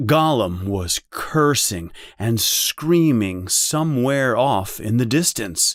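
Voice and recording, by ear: Someone reads aloud naturally, the intonation lively throughout.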